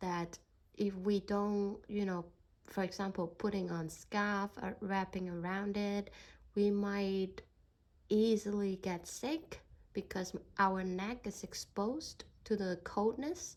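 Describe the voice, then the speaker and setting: With a Hong Kong accent, a woman talks very slowly at a medium pitch and with fairly even intonation, recorded very cleanly against a silent background. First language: Cantonese. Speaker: spiritual card reader vlogger. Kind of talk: casual vlog monologue. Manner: halting, searching for words.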